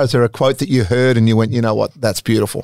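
With an Australian accent, a man talks in a dry, close sound with no echo. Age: 50s. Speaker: podcast host. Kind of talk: casual interview.

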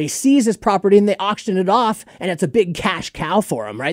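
A man talks at a high pitch and a fairly quick pace, with a dry, close sound and no echo. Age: 30s. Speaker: music promoter and event organizer. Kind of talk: casual chat. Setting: studio.

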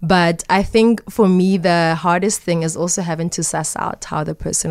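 A woman speaks in a normal speaking voice at a fairly low pitch. Her intonation stays fairly even at a moderate pace. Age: 20s. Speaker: model and intersex awareness advocate. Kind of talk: interview.

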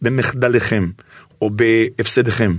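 A man speaks with vocal fry. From Israel, Bnei Brak. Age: 50s. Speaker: singer and radio presenter. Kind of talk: casual interview chat.

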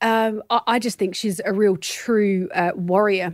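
A woman with an Australian accent, fairly high in pitch, fairly even in intonation, at a moderate pace, in a very clean recording with a silent background and a dry, close sound with no echo. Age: 40s. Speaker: body image activist and filmmaker. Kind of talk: interview conversation.

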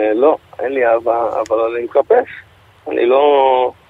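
Amid noticeable background noise, a man speaks at a medium pitch and a very slow pace in a monotone, flat way. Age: 20s. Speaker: interview guest. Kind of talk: radio interview. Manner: halting.

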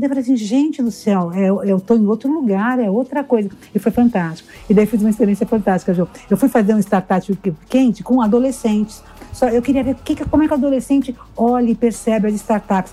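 A woman talks at a fairly quick pace with fairly high pitch. Her pitch varies in an ordinary way, with noticeable background noise behind her. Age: 60s. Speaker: motivational speaker and entrepreneur. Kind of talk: casual interview.

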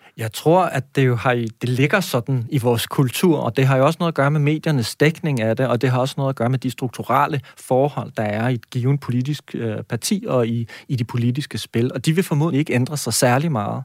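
A normal speaking voice from a man, fairly quick and with hardly any pauses, ordinary pitch variation, a very clean recording with a silent background, and a dry, close sound with no echo. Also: medium pitch for a man. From Denmark, Næstved (South Zealand). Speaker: university lecturer, education researcher. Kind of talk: radio interview. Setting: radio studio.

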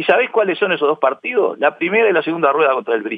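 A man speaks with very wide pitch swings. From Uruguay, Montevideo (Barrio Sur). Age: 60s. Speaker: football club historian and accountant. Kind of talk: interview. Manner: hesitant, many fillers; excited, shouting while recounting goals.

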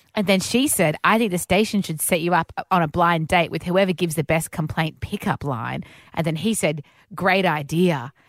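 A woman speaks with an Australian accent at a moderate pace, her pitch fairly low with ordinary variation. The recording is very clean with a silent background and a dry, close sound with no echo. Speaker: radio host. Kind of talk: casual chat.

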